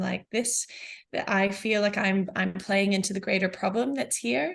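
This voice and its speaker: At a moderate pace, a woman with an American accent speaks in a medium pitch. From New Zealand. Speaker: business founder. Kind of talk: podcast interview. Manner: hesitant, many fillers.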